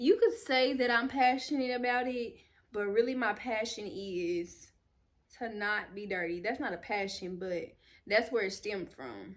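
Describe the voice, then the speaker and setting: In a normal speaking voice, a woman with an American accent talks at a moderate pace, her pitch fairly high with ordinary variation. Her loudness swings widely, and the recording is very clean with a silent background. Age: 20s. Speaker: YouTuber, lifestyle vlogger. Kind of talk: casual vlog talk to camera. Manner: conversational, with fillers and restarts.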